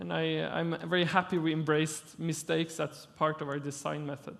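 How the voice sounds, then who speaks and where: With a Norwegian accent, a man speaks at a moderate pace in a fairly high pitch. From Norway. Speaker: architect. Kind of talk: lecture. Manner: halting.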